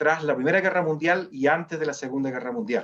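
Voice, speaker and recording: Lively in intonation, a man with a Chilean accent speaks at a fairly high pitch. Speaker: human rights foundation director. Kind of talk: webinar presentation. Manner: halting, many fillers.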